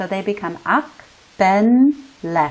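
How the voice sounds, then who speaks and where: A woman with a Canadian accent speaks very slowly, her intonation lively. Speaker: linguistics lecturer. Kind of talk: lecture.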